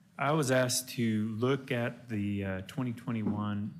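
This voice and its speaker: Audible room echo surrounds a man whose fairly low voice moves at a moderate pace with ordinary pitch variation. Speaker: bond counsel presenting to county commissioners. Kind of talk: briefing presentation. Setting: county commissioners court meeting. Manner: loud.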